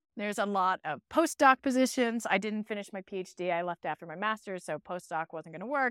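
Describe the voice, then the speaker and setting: In a plain, everyday voice, the speaker talks at a fairly quick pace with lively intonation, on a very clean recording with a silent background and a dry, close sound with no echo. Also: woman. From US Northeast, northwest Pennsylvania. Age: 40s. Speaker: podcast host and resiliency coach. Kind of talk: interview as guest on own show.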